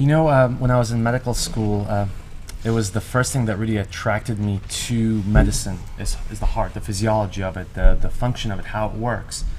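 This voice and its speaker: A fairly quick delivery with fairly even intonation and audible room echo. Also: man, fairly low pitch for a man. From Ireland. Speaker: cardiologist. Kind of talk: talk show interview.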